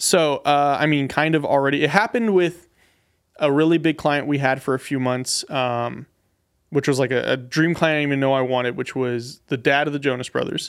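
A man with a normal speaking voice talks at a fairly high pitch with ordinary pitch variation, on a very clean recording with a silent background. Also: fairly quick pace. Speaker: podcast producer. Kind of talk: coaching session, receiving advice. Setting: studio.

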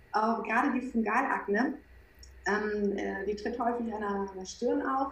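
Fairly high female speech at a moderate pace with ordinary pitch variation, with audible room echo and noticeable background noise. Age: 30s. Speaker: skin coach. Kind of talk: interview.

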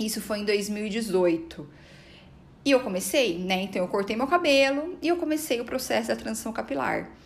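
A woman talks at a fairly high pitch with very wide pitch swings. Noticeable background noise runs under her voice. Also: moderate pace. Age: 30s. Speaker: psychologist and podcast host. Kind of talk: personal testimony monologue.

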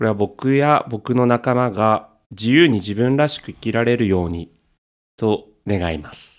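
A normal speaking voice at a fairly slow pace with ordinary pitch variation, on a very clean recording with a silent background. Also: man, medium pitch for a man. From Tokyo. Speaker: podcaster. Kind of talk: casual chat.

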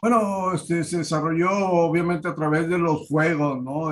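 A man with a plain, everyday voice moves fairly slowly, his pitch varying in an ordinary way. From Monterrey, Nuevo León, Mexico. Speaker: theatre director. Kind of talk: interview.

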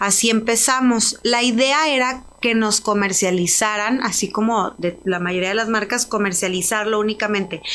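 A woman talks in a plain, everyday voice at a fairly high pitch. She keeps a moderate pace with hardly any pauses. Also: ordinary pitch variation, very even loudness. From Mexico, Ciudad Juárez. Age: 30s. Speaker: entrepreneur, spirits brand founder. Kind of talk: interview. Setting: studio.

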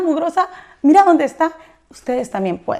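Very wide pitch swings at a fairly quick pace. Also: woman. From Mexico. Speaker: entrepreneur and influencer. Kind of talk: interview.

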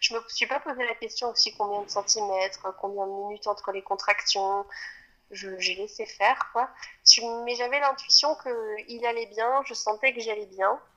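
Bright and sharp in tone, a woman speaks at a fairly high pitch and a fairly slow pace with fairly even intonation. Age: 20s. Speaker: mother sharing birth story. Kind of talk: testimony. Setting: outdoors. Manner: halting.

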